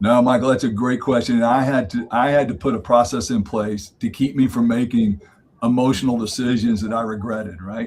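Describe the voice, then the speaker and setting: A man talks at a fairly quick pace in an ordinary speaking voice, his pitch medium and his intonation fairly even. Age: 60s. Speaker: marriage mentor. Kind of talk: podcast interview.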